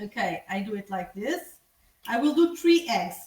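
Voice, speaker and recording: This woman speaks at a moderate pace in a Portuguese accent, with very wide pitch swings. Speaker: tour guide. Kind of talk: live cooking demonstration. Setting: home kitchen, livestream. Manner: casual, with hesitations.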